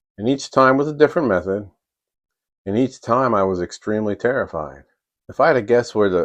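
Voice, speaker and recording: The background is quiet. Speech moves at a moderate pace with lively intonation. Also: man. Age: 50s. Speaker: pastor and professional counselor. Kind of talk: personal story talk to camera.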